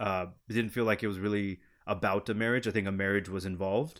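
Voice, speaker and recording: A man with a plain, everyday voice, fairly low in pitch, at a moderate pace, on a very clean recording with a silent background. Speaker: film editor. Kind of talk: casual chat.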